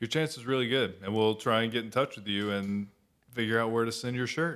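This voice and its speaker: A man with a plain, everyday voice talks at a fairly quick pace, pitched at a medium level and with fairly even intonation. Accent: American. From Florida. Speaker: podcast co-host. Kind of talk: casual chat.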